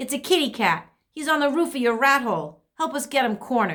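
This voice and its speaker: A woman's high, squeaky, put-on character voice at a fairly quick pace. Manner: calling out, urgent.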